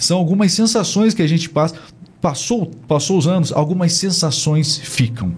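A man with a high-pitched voice talks over noticeable background noise, his pitch shifting in an ordinary way. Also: moderate pace, very even loudness. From Brazil. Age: 40s. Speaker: podcast host. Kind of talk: interview. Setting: studio.

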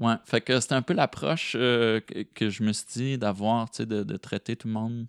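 Captured dry and close with no echo on a very clean recording with a silent background, a man speaks at a moderate pace and medium pitch with ordinary pitch variation. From Quebec, rural Chaudière-Appalaches near Thetford Mines. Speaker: slam poet. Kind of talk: casual interview. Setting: host's living room. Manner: halting, many repetitions.

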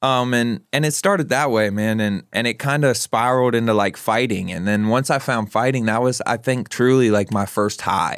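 In a plain, everyday voice, a man of medium pitch speaks at a moderate pace with hardly any pauses, very even loudness and ordinary pitch variation, on a very clean recording with a silent background. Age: 20s. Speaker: guest in addiction recovery. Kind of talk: casual chat.

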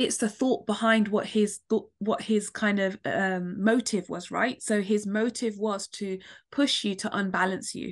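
The speaker has a British accent and a fairly slow pace. The intonation stays monotone and flat. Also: woman, medium pitch for a woman. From London. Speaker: author and poet, domestic abuse survivor. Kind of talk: personal testimony in interview.

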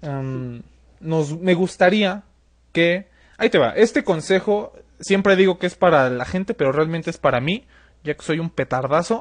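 A man with a high pitch and lively intonation talks at a fairly slow pace against a quiet background. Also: big swings in loudness. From Mexico City. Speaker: podcast host. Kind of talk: casual interview.

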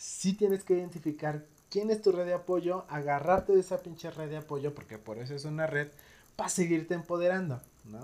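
Speaking fairly quickly with a Mexican accent, a man with a high voice uses ordinary pitch variation while his loudness swings widely, on a very clean recording with a silent background. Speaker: psychologist and podcast host. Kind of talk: casual interview chat.

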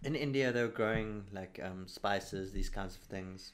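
A man with an unremarkable speaking voice talks at a fairly slow pace, his pitch fairly low and his intonation fairly even. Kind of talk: casual chat.

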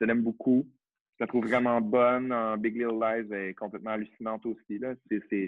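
Monotone and flat in intonation, a man talks at a medium pitch and a moderate pace. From Quebec, Saguenay (Chicoutimi). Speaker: actor and drag queen. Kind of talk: casual chat.

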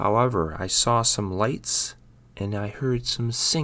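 The pitch moves up and down normally as someone reads in a natural voice.

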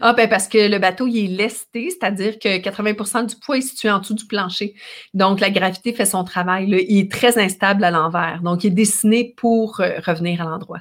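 In a Quebec accent, a woman talks at medium pitch and a moderate pace with fairly even intonation, on a very clean recording with a silent background. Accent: Québécois French. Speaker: ocean rower and adventurer, speaker. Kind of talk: interview conversation.

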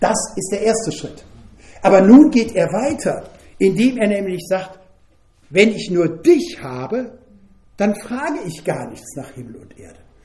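With long, frequent pauses, a man speaks at a high pitch that swings very widely, amid audible room echo and noticeable background noise. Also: fairly slow pace. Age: 70s. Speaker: preacher. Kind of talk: sermon.

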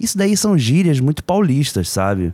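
Heard dry and close with no echo on a very clean recording with a silent background, a man with a dark, mellow tone speaks with lively intonation. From Brazil, Rio de Janeiro. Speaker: podcast co-host. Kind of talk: casual chat.

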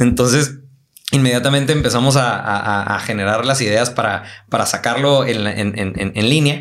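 Audible room echo surrounds a man talking at a moderate pace and a medium pitch with ordinary pitch variation. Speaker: orthodontist. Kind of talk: casual chat.

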